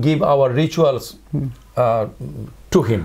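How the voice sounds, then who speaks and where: A man with a Chittagong accent and a fairly high pitch. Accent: Chittagonian Bengali accent in English. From Chittagong, Bangladesh. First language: Bengali. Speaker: philosophy professor. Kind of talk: interview answer. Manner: hesitant, extempore.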